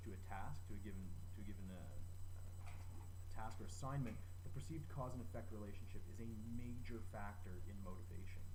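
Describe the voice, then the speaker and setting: Through noticeable background noise, a man with a very deep, low pitch speaks at a fairly quick pace with ordinary pitch variation. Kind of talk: educational presentation to camera.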